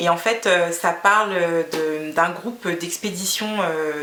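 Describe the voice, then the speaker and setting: Over noticeable background noise and audible room echo, a woman speaks at a fairly low pitch with ordinary pitch variation. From Guinea. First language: Fula (speaking French). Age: 30s. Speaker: beauty vlogger. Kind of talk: casual vlog monologue. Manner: hesitant, many fillers.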